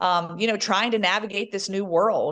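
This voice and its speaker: A woman speaks at a medium pitch with an animated tone. Behind her, the background is quiet. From US South, Southwest Virginia. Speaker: sports broadcaster. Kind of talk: podcast interview.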